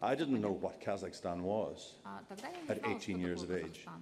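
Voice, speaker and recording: A man with an Irish accent and a very deep, low pitch, at a moderate pace with ordinary pitch variation, amid audible room echo. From Ireland. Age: 60s. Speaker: journalist. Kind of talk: panel discussion.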